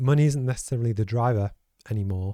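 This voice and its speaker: The tone is dark and mellow, delivered at a fairly quick pace. The recording is very clean with a silent background, and the sound is dry and close, with no echo. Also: man. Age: 40s. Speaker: podcast host. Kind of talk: casual chat. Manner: halting.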